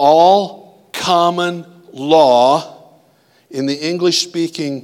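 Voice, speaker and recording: A man with an American accent speaks very slowly, using ordinary pitch variation. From US Midwest (Iowa). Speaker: pastor. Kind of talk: sermon.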